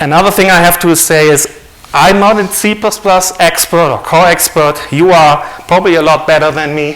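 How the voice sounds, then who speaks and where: With a non-native accent, a high-pitched man talks at a moderate pace with fairly even intonation, amid noticeable background noise and audible room echo. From Germany. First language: German. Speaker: author and conference speaker. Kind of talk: conference talk.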